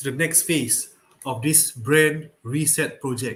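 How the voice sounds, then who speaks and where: A man with an unremarkable speaking voice and a fairly high pitch speaks fairly slowly, his pitch varying in an ordinary way. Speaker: business coach. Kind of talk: live stream talk. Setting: live stream.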